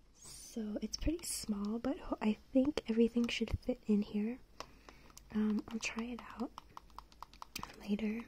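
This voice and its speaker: Soft-spoken whispering comes through over light background noise. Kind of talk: casual haul vlog chat. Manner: soft ASMR whisper. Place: home room. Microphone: phone near.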